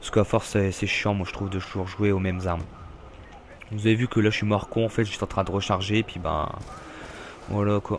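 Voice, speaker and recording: Long, frequent pauses break up a man's fairly quick speech. His fairly low voice stays monotone and flat. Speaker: gaming youtuber. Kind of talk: gameplay commentary. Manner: halting, many fillers; casual, rambling hesitations.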